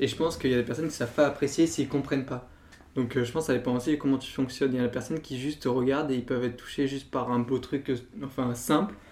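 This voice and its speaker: A man speaks at a medium pitch with fairly even intonation. His pace is very fast. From southern France, Nîmes. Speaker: art history student. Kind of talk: casual chat.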